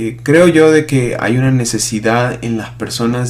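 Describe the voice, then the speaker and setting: A man's medium-pitched voice with fairly even intonation amid noticeable background noise. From Peru. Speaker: pastor. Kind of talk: podcast monologue. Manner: hesitant, many fillers (eh).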